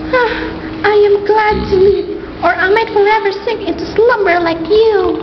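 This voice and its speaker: A put-on character voice, female-sounding and extremely high in pitch, rings out with clear echo. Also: moderate pace. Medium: audio drama.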